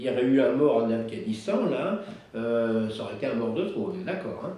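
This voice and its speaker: Lively intonation rises and falls at a fairly slow pace, with audible room echo and noticeable background noise. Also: man. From France, Isère. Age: 70s. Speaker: war veteran. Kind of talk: testimony. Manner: halting.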